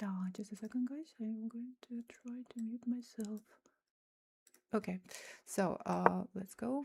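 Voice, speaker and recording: With a Russian accent, a woman talks at a fairly slow pace with long, frequent pauses. Her voice is fairly high, and her intonation is fairly even. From Kyrgyzstan. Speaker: chess streamer and coach. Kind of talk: live chess stream commentary. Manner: halting, with frequent repetitions.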